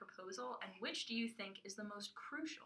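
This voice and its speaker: A woman's fairly high-pitched, unremarkable speaking voice, moderate in pace and lively in intonation. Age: 20s. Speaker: podcast co-host, service year volunteer. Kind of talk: casual chat.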